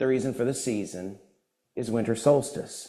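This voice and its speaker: Over audible room echo, a man speaks at a fairly slow pace. His tone is animated, with lively intonation. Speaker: guest speaker at a church service. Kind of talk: sermon-style talk with humor. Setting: church with live audience and Zoom. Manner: loud.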